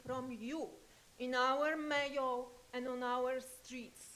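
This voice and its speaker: A woman with a non-native accent speaks in a high voice, with audible room echo and noticeable background noise. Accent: foreign. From Poland. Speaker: public commenter. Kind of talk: public comment at city council. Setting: city council meeting. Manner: urgent.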